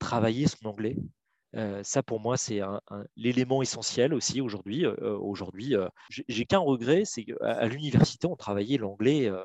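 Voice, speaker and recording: A man's medium-pitched voice at a fairly slow pace, with ordinary pitch variation and a dry, close sound with no echo. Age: 40s. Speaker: legal director in a tech company. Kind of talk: interview. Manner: halting, many repetitions and fillers; talkative.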